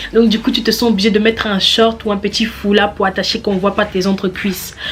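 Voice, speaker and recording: Music plays in the background as a woman speaks. Her tone is animated and her pace moderate. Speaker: beauty vlogger and model. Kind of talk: casual vlog tutorial. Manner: animated, repetitive.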